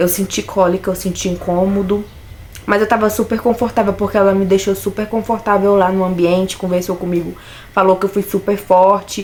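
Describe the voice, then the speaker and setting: A woman talks at a fairly quick pace in a medium pitch with monotone, flat intonation. Noticeable background noise runs underneath. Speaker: vlogger. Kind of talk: personal vlog.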